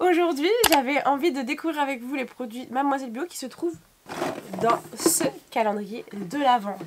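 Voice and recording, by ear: A woman uses a put-on character voice, high-pitched and hoarse. She speaks at a moderate pace.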